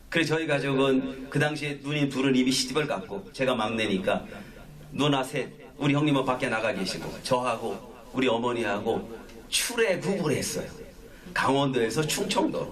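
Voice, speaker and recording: A man's speech comes with noticeable background noise and audible room echo. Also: medium pitch for a man, lively intonation, moderate pace. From Gangwon and Chungcheong, South Korea. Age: 60s. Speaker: pastor. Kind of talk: sermon. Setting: small worship gathering in an office.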